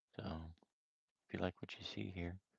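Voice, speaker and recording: This man's voice is very deep and low, soft-spoken and somewhat breathy, with a relaxed tone at a fairly quick pace. The sound is dry and close, with no echo. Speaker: amateur artist streamer. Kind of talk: live stream art session chat. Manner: casual, relaxed.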